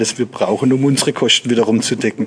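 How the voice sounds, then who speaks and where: Talking at a very fast pace, a man keeps a medium pitch and monotone, flat intonation. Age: 40s. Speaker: company managing director. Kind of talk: interview.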